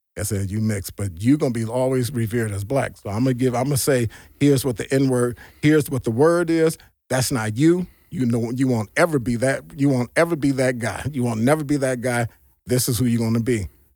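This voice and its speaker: Speaking at a fairly quick pace with an American accent, a man has a medium pitch, ordinary pitch variation and a dark, mellow tone on a very clean recording with a silent background. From US Midwest, Gary, Indiana and Chicago area. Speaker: army veteran. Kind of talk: interview testimony.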